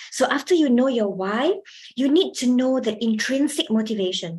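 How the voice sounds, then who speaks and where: A woman talks at a moderate pace in a somewhat breathy voice with lively intonation. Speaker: communication skills trainer. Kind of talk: workshop lecture. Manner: projects more when lecturing.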